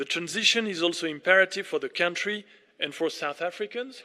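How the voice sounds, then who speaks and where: A man's bright, sharp voice with a French accent and ordinary pitch variation. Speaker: ambassador. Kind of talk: formal speech. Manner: formal.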